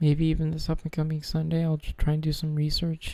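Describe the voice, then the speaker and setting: The voice has a calm tone and moves at a moderate pace. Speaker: vlogger. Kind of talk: casual monologue. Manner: halting.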